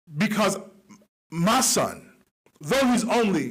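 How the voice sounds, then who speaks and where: A man talks loudly in an animated tone, with audible room echo. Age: young. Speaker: online talk show host. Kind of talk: motivational monologue. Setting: studio.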